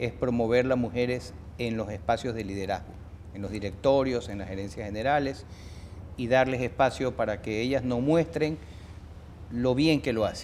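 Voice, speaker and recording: At a moderate pace, a man talks at medium pitch with ordinary pitch variation and long, frequent pauses. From Ecuador. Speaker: interview show host. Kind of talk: interview. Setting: business event.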